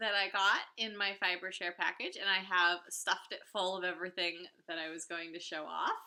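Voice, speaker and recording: A woman's bright, sharp tone at a medium pitch and a moderate pace. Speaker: knitting podcaster. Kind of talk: casual podcast monologue. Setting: home recording. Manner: many fillers (uh, um).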